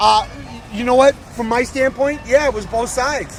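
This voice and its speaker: In an American accent, a man with an extremely high pitch speaks at a moderate pace in an animated tone over music in the background. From US West Coast, San Francisco Bay Area. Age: 60s. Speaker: rally attendee interviewed on the street. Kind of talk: street interview, heated discussion. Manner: animated, emphatic.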